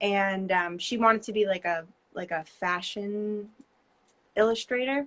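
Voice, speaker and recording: Pausing long and often, a woman speaks at medium pitch with a New Jersey accent. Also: ordinary pitch variation, fairly slow pace. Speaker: painter. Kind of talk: casual interview. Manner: hesitant, many fillers.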